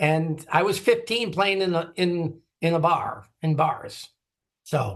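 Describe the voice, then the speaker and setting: A man with an Upper Midwest accent has a high pitch. He talks at a very slow pace. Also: ordinary pitch variation. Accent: Upper Midwest American. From US Midwest, Green Bay, Wisconsin. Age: 60s. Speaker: drummer and retired music industry marketer. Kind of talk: interview conversation.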